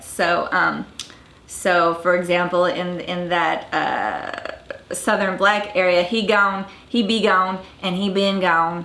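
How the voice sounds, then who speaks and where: Fairly even intonation in a woman's mid-range voice, with noticeable background noise. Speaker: dialect coach. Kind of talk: educational talk to camera.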